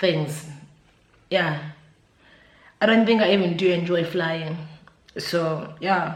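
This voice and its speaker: Very slowly and with long, frequent pauses, a somewhat breathy woman with a South African accent speaks at a fairly low pitch, with fairly even intonation and very even loudness, amid audible room echo. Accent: South African, Zulu-speaking. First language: Zulu. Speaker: YouTuber. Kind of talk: casual vlog chat. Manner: hesitant, filler-heavy.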